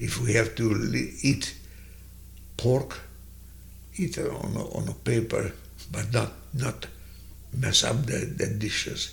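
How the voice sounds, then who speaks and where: With a Hungarian accent, a man speaks at a very slow pace, leaving long, frequent pauses. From Hungary. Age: 90s. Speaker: Holocaust survivor. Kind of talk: personal testimony. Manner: slow, halting.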